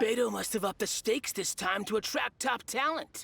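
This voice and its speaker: This put-on character voice is raspy and fairly high in pitch, moving at a fairly quick pace. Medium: video game.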